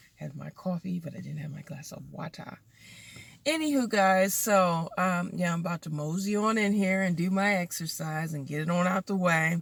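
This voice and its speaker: Somewhat breathy, a woman with a fairly low pitch talks at a moderate pace with ordinary pitch variation. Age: middle-aged. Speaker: lifestyle vlogger. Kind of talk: casual vlog. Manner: casual, hesitant with fillers.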